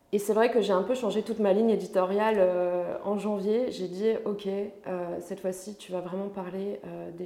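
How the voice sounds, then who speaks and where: The speech is fairly slow, with monotone, flat intonation. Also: woman. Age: 20s. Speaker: personal development coach. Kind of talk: casual chat.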